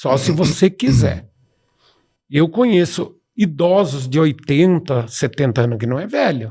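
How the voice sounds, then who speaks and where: Somewhat breathy and fairly high for a man, his voice has a dark, mellow tone, moves at a fairly slow pace, and makes very wide pitch swings. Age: 60s. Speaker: professor and speaker. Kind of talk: podcast interview. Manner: animated.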